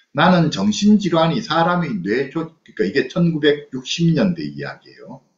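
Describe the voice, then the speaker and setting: A man talks with big swings in loudness and hardly any pauses. Audible room echo surrounds his voice. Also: moderate pace. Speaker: psychologist lecturer. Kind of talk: online lecture with book reading. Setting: video call. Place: home room. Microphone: webcam.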